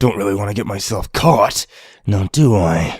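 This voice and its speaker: Using a put-on character voice, a man speaks in a raspy tone at a fairly low pitch. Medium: audio drama. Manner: calm, quiet, mocking.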